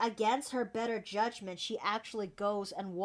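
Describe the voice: Plain reading aloud, nothing more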